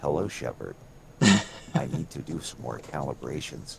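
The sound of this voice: Putting on a character voice, a man talks at a moderate pace with a very deep, low pitch over clear background noise.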